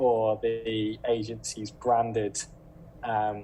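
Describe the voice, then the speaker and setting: The voice has a dark, mellow tone with a British accent. Light background noise can be heard. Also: man. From Britain. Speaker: recruiter. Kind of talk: webinar talk giving tips. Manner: casual with filler words. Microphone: video call.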